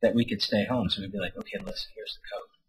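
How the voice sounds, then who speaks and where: A man's voice with vocal fry. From rural farm community. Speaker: storyteller. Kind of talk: personal storytelling. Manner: halting with many fillers.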